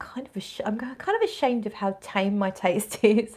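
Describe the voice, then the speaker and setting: With a British accent, a woman talks at a fairly slow pace in a fairly high pitch. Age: 40s. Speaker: fragrance vlogger. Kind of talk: casual livestream chat, reading viewer comments. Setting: fragrance event in a shop.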